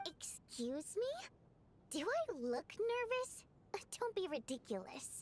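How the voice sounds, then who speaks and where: A woman performs a put-on character voice at an extremely high pitch with very wide pitch swings. Long, frequent pauses break it up over clear background noise. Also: fairly slow pace. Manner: defensive, nervous.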